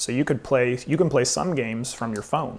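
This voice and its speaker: A man is talking. His pitch is medium, with ordinary variation. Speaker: board game reviewer. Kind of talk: casual gameplay chat.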